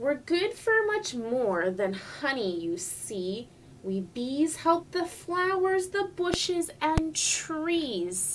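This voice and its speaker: Using a put-on character voice, a woman speaks very slowly at a high pitch with very wide pitch swings and hardly any pauses, against clear background noise. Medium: read story. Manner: earnest, explaining.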